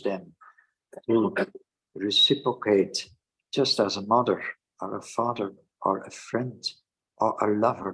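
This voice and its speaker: The speaker talks at a fairly slow pace in a Dutch accent. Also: man. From Netherlands. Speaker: Hare Krishna teacher. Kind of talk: scripture lecture. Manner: hesitant with fillers.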